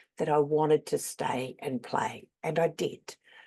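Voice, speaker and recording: Speaking with an Australian accent, a woman has a dark, mellow tone and a very deep, low pitch. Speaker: game reviewer. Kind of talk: scripted narration.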